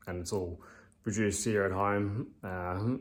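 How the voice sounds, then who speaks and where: A man's mumbling, flat monotone with an Australian accent, fairly low in pitch and very slow. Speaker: amateur bodybuilder vlogger. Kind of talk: casual vlog talk. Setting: at home. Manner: hesitant, many fillers.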